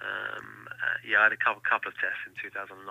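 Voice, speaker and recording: Talking at a fairly quick pace, this man has an English accent. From England. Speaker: racing driver. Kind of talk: interview. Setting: phone call.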